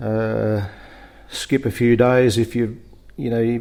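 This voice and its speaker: A man speaks with a rural Australian accent. His pace is fairly slow. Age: 60s. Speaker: farmer. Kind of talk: interview. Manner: halting, many fillers.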